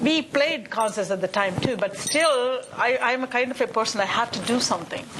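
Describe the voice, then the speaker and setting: Speaking at a moderate pace with hardly any pauses, a woman uses a high voice with ordinary pitch variation and a Tamil accent. Noticeable background noise is present. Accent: Indian (Tamil) English. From India, Chennai. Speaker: musician. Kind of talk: panel discussion. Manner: animated.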